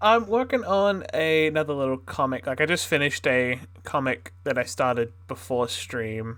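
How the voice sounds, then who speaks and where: Using a relaxed tone, a man talks at a fairly high pitch with very wide pitch swings. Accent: Australian. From Australia. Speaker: streamer and artist. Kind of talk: casual live stream chat. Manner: relaxed, halting.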